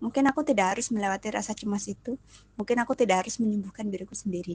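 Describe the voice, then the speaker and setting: Very fast and somewhat breathy, a woman's fairly high voice has ordinary pitch variation and a dry, close sound with no echo. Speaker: podcast host. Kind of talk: personal monologue.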